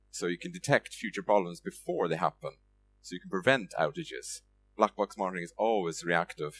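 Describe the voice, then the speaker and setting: At a fairly quick pace, a man with an Irish accent talks with big swings in loudness. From Ireland, Limerick. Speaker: software developer, conference speaker. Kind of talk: conference talk. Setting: stage with audience. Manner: hesitant, many fillers.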